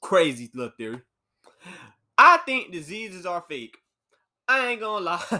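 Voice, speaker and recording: Bright and sharp in tone, a man speaks at a moderate pace and high pitch in an animated way, with very wide pitch swings, big swings in loudness and long, frequent pauses. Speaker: podcast host.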